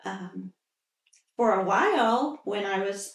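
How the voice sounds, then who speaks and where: A woman has an ordinary speaking voice at a medium pitch, with fairly even intonation. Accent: American. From central Indiana, US. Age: 60s. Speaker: local resident interviewee. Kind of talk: oral history interview.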